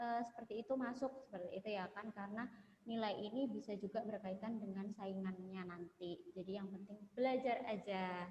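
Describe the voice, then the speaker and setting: This woman's speech runs at a fairly quick pace. Her pitch varies in an ordinary way over noticeable background noise. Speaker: webinar moderator. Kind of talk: webinar Q&A. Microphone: too quiet.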